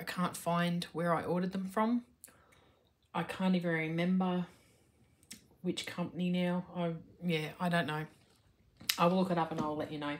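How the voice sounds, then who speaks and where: Somewhat breathy and fairly low in pitch, a woman speaks at a moderate pace with fairly even intonation. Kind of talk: casual vlog chat. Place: home room. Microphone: phone near.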